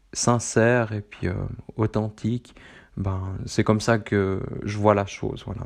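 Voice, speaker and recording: A flat, monotone voice with a Swiss accent against a quiet background. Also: man. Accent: Swiss French, moderate. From central Switzerland. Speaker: running podcast host. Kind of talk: solo podcast monologue. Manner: halting, many fillers.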